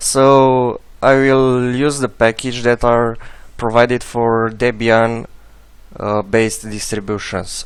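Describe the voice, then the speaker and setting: A man's monotone, flat delivery at a very slow pace, with a non-native accent. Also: medium pitch for a man. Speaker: software tutorial maker. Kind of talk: tutorial. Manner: halting, many filler sounds.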